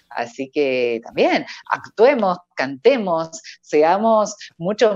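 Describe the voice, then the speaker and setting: A woman talks with lively intonation. The sound is dry with no echo, and faint music plays in the background. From Argentina, Córdoba; Argentina. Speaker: professional voice-over artist and announcer; announcer. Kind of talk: casual interview. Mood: cheerful, laughing. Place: home room. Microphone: earbuds.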